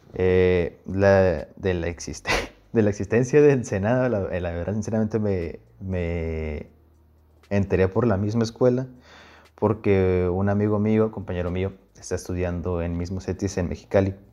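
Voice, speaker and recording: Against a quiet background, a man with a very deep, low pitch and a dark, mellow tone speaks fairly slowly. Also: ordinary pitch variation. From Mexico, Puebla and Sinaloa (Guasave). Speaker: student. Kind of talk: casual chat.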